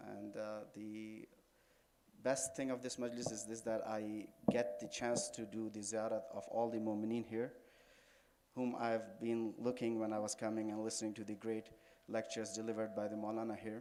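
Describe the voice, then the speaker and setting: A man with a dark, mellow tone and medium pitch speaks at a moderate pace in a monotone, flat intonation, with audible room echo around him. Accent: Pakistani. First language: Urdu. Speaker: Shia cleric, religious speaker. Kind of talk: religious lecture. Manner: halting.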